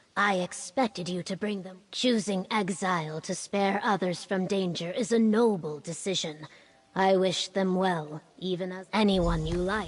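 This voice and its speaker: A woman puts on a character voice. Her pitch is medium and her pace moderate. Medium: video game. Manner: formal, stately.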